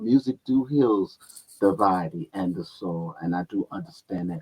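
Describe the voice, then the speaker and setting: In a dry, close sound with no echo, a man speaks at a moderate pace with a fairly low pitch and lively intonation. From US Midwest, Cleveland, Ohio. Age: 60s. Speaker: musician. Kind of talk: interview.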